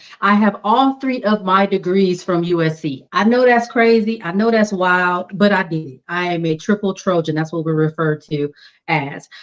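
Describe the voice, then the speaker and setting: A plain, everyday voice: a woman with an American accent, medium pitch, moderate pace and hardly any pauses. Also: ordinary pitch variation. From South Los Angeles. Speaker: public health professional with new doctorate. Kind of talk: interview.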